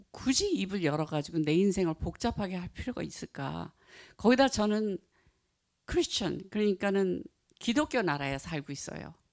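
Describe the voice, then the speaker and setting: Very wide pitch swings mark the speech of a woman with a non-native accent. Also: very clean recording, silent background. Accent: non-native Korean. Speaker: Buddhist author and practitioner. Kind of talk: talk to an audience. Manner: halting.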